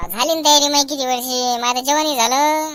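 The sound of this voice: Using a cartoonish character voice, a woman speaks at a high pitch and a moderate pace.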